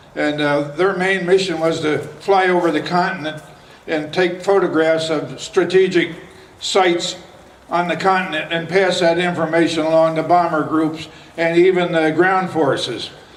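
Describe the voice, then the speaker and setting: A man with an American accent, high-pitched and monotone with flat intonation, at a moderate pace amid noticeable background noise and audible room echo. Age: 80s+. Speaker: war veteran and local elder. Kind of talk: public speech at outdoor event. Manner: halting.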